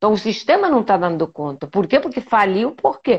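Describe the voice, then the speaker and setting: A woman talks at a moderate pace. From Spain, Majorca (Balearic Islands). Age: 60s. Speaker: medical doctor. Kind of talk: live interview. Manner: animated, conversational.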